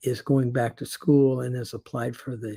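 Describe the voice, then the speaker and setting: His voice is somewhat breathy, with a dark, mellow tone. The man's pitch is medium. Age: 70s. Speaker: retired teacher turned online marketer. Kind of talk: casual video monologue. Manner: halting, many fillers.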